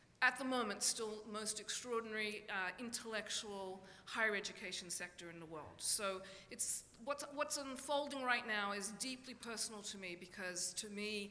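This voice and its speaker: In a room with audible echo, a woman talks at a moderate pace with a fairly high pitch and ordinary pitch variation. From Australia. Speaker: professor. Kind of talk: lecture. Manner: hesitant, with many fillers.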